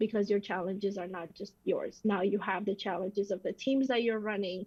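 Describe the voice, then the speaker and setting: Fairly even in intonation, this somewhat breathy voice carries on. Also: woman, quiet background. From Armenia. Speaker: CEO and podcast host. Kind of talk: interview conversation.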